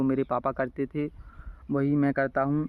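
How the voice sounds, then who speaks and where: A man speaks with a fairly high pitch and monotone, flat intonation. The sound is dry and close with no echo. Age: 20s. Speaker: village vlogger and farmer. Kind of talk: casual vlog monologue. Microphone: phone mic, no external mic.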